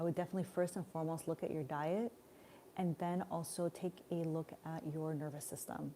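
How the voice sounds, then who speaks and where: A woman talks at a fairly quick pace in a Montreal accent. Her pitch is fairly low and her intonation fairly even. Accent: Canadian English (Montreal). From Montreal, Canada. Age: 40s. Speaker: spiritual life coach. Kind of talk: live stream Q&A. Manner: casual, conversational.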